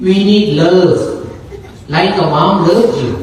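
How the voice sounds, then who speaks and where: A man talks at a very slow pace and fairly high pitch. Audible room echo and noticeable background noise fill the recording. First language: not English. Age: 60s. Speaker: Buddhist monk. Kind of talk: dharma talk. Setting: gathering with audience and microphone. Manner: halting.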